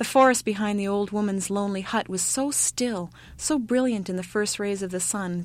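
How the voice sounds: The clip has a natural reading voice showing ordinary pitch variation.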